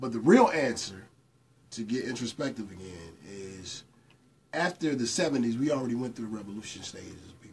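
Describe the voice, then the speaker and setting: Somewhat breathy and with an American accent, a man talks fairly quickly with lively intonation, big swings in loudness and long, frequent pauses over light background noise. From US South and New York. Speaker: radio personality and former rapper; radio personality. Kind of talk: casual chat. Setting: studio with live audience. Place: studio.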